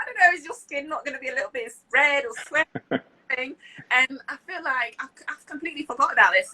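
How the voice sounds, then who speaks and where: In a raised, projected voice with a British accent, a woman speaks high and fairly quick, with an upbeat tone, lively intonation, big swings in loudness, and a dry, close sound with no echo. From France, Lille. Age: 30s. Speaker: public speaker, interpreter, lecturer. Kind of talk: interview answer. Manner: smiling, upbeat.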